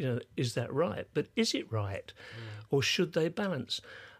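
In a very clean recording with a silent background, a somewhat breathy voice with an English accent makes very wide pitch swings at a moderate pace. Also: man. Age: 80s+. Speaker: musician and sound engineer. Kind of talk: casual chat.

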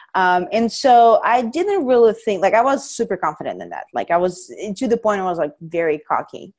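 Her intonation is lively, and she has a non-native accent. The woman is recorded very cleanly against a silent background. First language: not English. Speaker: strength coach and powerlifter. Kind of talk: casual interview chat.

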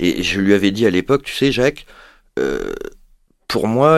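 The recording is very clean with a silent background. The speech moves at a fairly quick pace. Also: man. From Paris, France. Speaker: rehabilitation physician. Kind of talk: interview.

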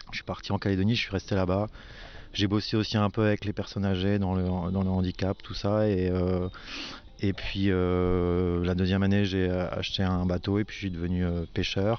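The speech comes at a moderate pace with monotone, flat intonation. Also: man, very deep, low pitch for a man. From Alsace. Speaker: winemaker. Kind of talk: casual chat. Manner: halting, repeats words.

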